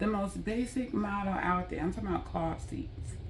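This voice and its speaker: A woman speaks at a moderate pace in an animated tone, with audible echo from the room. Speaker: vlogger. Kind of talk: storytime monologue. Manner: stuttering from frustration.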